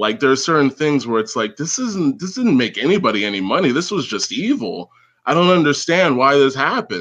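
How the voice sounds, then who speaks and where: The speaker has an American accent and a fairly quick pace. The pitch swings very widely. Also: man, fairly high pitch for a man. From United States. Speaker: caller. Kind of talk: casual chat.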